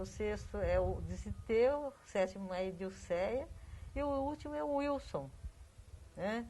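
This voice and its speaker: A woman speaks at a fairly slow pace, with long, frequent pauses. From Brazil, São Paulo state (Iperó). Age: 60s. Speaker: local family history researcher. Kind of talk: interview.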